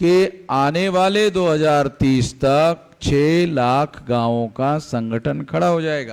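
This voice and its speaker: A man talks with a fairly high pitch and lively intonation. He has a plain, everyday voice. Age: 60s. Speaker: activist organisation leader. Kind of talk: political speech.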